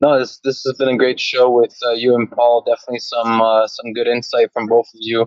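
Fairly quickly and in a monotone, flat delivery, a man speaks at a medium pitch with a dry, close sound and no echo. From Toronto, Canada. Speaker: tile contractor, aspiring real estate investor. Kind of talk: casual interview chat.

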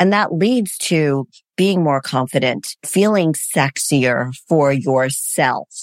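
A woman's lively intonation in a dry, close sound with no echo, on a very clean recording with a silent background. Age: 60s. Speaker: fitness coach. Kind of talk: casual interview chat.

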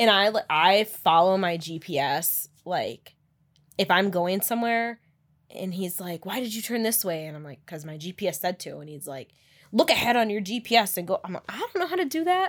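A woman with an American accent speaks at a moderate pace in an unremarkable speaking voice, her pitch medium and her intonation lively. Her loudness swings widely, and the recording is very clean with a silent background. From Upper Michigan. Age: 30s. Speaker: breast cancer survivor. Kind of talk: interview.

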